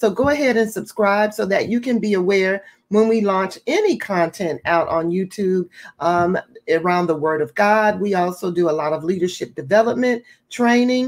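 With ordinary pitch variation and a moderate pace, a woman talks against a quiet background. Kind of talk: closing announcements to viewers.

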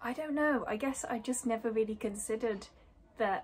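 Somewhat breathy speech comes at a moderate pace with fairly even intonation. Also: woman. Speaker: vlogger. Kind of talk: casual vlog chat. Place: home room. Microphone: phone near.

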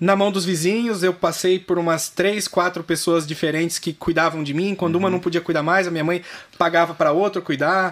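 Monotone and flat in intonation, a man speaks at high pitch and a fairly quick pace. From Brazil, interior of São Paulo state (raised in Mairinque); São Paulo state, Brazil. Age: 30s. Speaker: fitness entrepreneur; podcast guest. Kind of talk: interview. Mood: calm, reflective, smiling. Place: studio. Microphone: studio mic.

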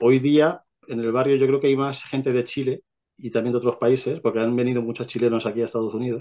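Against a quiet background, a man speaks very fast in a monotone, flat intonation. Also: medium pitch for a man. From Spain, Albacete, Castilla-La Mancha; Castilla-La Mancha, Spain. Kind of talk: testimony. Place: home room. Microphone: video call.

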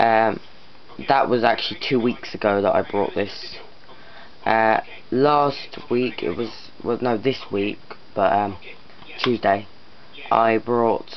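Over light background noise, a man talks at a very slow pace with long, frequent pauses and fairly even intonation. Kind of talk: casual vlog chat. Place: home room. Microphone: phone near.

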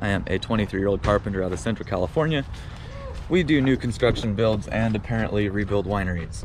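Talking at a very fast pace, a man with a fairly low pitch and ordinary pitch variation sounds dry with no echo, over noticeable background noise. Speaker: carpenter vlogger. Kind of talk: casual vlog chat. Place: street. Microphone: phone near.

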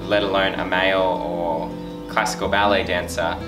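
A man's voice over clear music in the background. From Australia (Wollongong, New South Wales). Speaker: professional ballet dancer. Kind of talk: interview answer. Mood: friendly, reflective. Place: studio.

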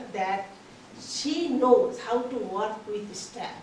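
Her pitch high and her intonation lively, a woman speaks amid light background noise and audible room echo. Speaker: conference organizer introducing speaker. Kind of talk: formal introduction. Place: meeting room. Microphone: camera far.

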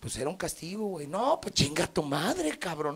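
A moderate pace, big pitch swings, vocal fry and a slightly husky edge. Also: man.

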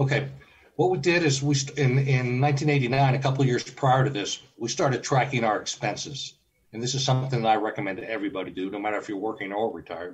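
A man's somewhat breathy, medium-pitched voice at a very fast pace, with ordinary pitch variation. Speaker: early retiree and travel blogger. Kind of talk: casual interview.

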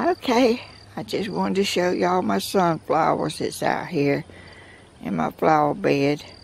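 Over light background noise, a woman with a Southern US accent talks at a fairly slow pace in a dry sound with no echo. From US South, Georgia. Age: 80s+. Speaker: craft video maker. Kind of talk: casual chat. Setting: outdoors. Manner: animated; laughs often. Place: garden. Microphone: phone near.

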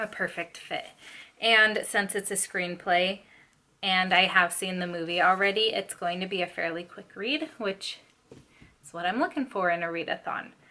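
A woman speaks at a moderate pace with a bright, sharp tone and fairly even intonation. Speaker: book vlogger. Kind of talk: casual vlog chat. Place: home room.

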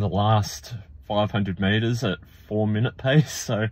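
A man is speaking. The sound is dry with no echo. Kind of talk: casual vlog chat. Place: car. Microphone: phone near.

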